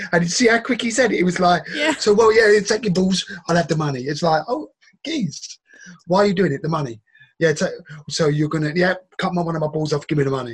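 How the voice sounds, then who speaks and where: Speaking at a very fast pace with an English accent, a man uses a high pitch and lively intonation. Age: 40s. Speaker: podcast co-host. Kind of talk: casual chat reacting to videos. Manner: animated, laughing.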